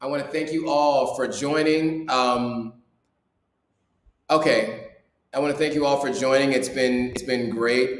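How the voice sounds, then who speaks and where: With an ordinary speaking voice, a man talks at a fairly slow pace, his pitch fairly high. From US. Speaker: YouTuber and vlogger. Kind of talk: live stream Q&A. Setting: live stream. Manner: casual, with many fillers.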